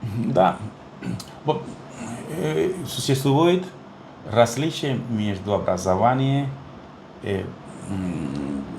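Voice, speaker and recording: Speaking at a very slow pace with long, frequent pauses, a man with a medium pitch makes very wide pitch swings amid audible room echo. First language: Spanish (speaking Russian). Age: 60s. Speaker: neonatologist. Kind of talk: interview. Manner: halting, many fillers.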